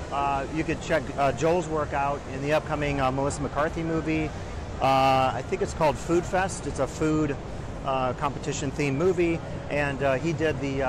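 Over noticeable background noise, a man speaks at a moderate pace with fairly even intonation and a dry sound with no echo. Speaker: industry commentator. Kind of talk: walkthrough commentary. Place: hall. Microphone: phone near.

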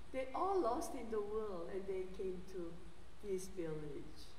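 A woman with a Korean accent speaks with very wide pitch swings. There is light background noise and audible room echo. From South Korea. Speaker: theology professor and guest preacher. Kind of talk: sermon. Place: church.

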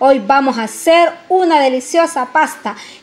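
Speaking fairly slowly, a woman uses a high voice. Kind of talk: tutorial. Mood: friendly, upbeat. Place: kitchen. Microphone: phone near.

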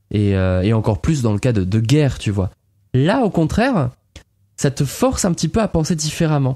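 Over a very clean recording with a silent background, a man speaks at a moderate pace in a medium pitch with a dark, mellow tone and very wide pitch swings. His loudness stays very even, and the sound is dry and close with no echo. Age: 30s. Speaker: podcast co-host. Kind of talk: casual chat.

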